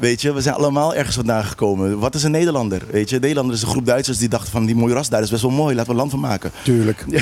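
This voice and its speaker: Speaking very fast with hardly any pauses, a man with a Caribbean Dutch accent keeps his loudness very even against noticeable background noise. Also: medium pitch for a man, ordinary pitch variation. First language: Papiamentu (speaking Dutch). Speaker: local politician. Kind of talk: heated debate.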